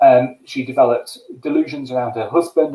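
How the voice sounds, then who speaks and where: A man's dark, mellow tone at a fairly quick pace, with fairly even intonation. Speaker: geriatric medicine doctor. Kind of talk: lecture. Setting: live webinar. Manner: fast.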